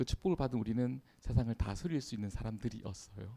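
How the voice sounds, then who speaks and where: A man's very fast speech in a dark, mellow tone. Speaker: preacher. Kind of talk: sermon.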